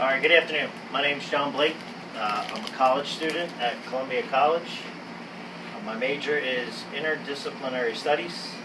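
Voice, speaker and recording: A fairly quick delivery amid noticeable background noise and audible room echo. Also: man, fairly high pitch for a man, ordinary pitch variation. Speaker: college student. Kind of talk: class speech. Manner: fast; filler words.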